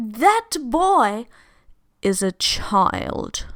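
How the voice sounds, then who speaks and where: In a put-on character voice, a woman drawls at a fairly high pitch on a very clean recording with a silent background. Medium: read story. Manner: calm, drawling.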